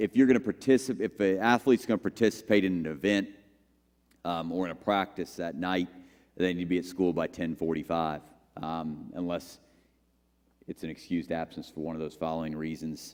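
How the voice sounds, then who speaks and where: A man with a very deep, low pitch talks at a fairly quick pace but takes long, frequent pauses. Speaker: athletic director. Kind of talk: informational presentation. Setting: school meeting with audience. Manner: monotone; halting, many fillers.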